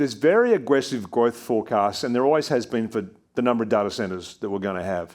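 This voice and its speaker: Against a quiet background, a man with an Australian accent talks very fast at a medium pitch with lively intonation. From Australia, New South Wales. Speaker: investment firm CEO. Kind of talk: onstage interview Q&A. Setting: stage with audience. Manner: animated.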